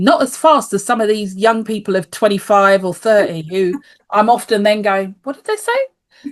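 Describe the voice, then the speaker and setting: A woman speaks with a British accent at a moderate pace, her pitch fairly high with ordinary variation. Her loudness swings widely. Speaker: life coach and osteopath. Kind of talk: podcast interview.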